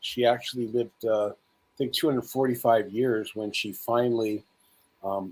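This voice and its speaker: Here is a man with an ordinary speaking voice. He talks at a medium pitch and moderate pace with fairly even intonation. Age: 60s. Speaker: spiritual speaker and conference host. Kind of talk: interview.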